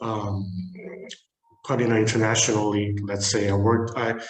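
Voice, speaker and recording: A man speaks at a moderate pace in a medium pitch. The room echo is clearly audible. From South Korea. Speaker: market research director. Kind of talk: webinar presentation.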